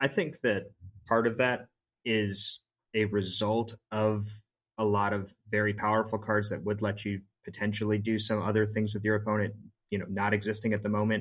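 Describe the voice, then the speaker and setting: A man's fairly low voice runs at a fairly quick pace with monotone, flat intonation and long, frequent pauses. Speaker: podcast co-host for a season arc. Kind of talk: casual chat about card games. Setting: studio.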